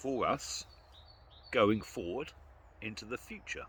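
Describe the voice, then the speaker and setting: A man with a British accent speaks at a fairly slow pace, his voice showing vocal fry and very wide pitch swings. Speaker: outdoor vlogger. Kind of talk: casual vlog monologue. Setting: outdoors in the woods.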